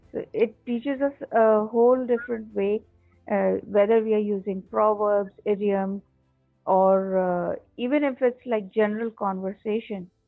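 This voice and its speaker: A woman speaks at a fairly high pitch with fairly even intonation while music plays in the background. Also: fairly slow pace. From Pakistan. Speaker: English teacher. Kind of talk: interview.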